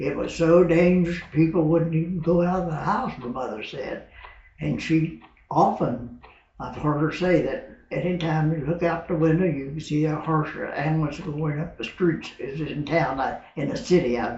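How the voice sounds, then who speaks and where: Over audible room echo, a man with a fairly high pitch talks at a moderate pace with ordinary pitch variation. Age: 80s+. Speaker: war veteran. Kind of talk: interview.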